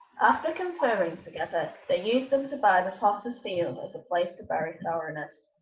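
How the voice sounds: Audible room echo surrounds a woman speaking at a moderate pace with lively intonation and a fairly low pitch.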